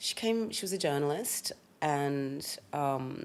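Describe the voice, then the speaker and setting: A woman with a very deep, low pitch and an Australian accent. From Australia, Sydney (Fairfield, western suburbs). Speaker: rapper, stylist and hotelier. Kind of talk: casual chat.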